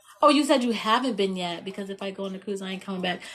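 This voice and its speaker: This woman talks at a very fast pace with an animated tone and lively intonation. Noticeable background noise runs behind her. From Indiana, US Midwest. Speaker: livestreamer. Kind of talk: casual chat. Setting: live stream.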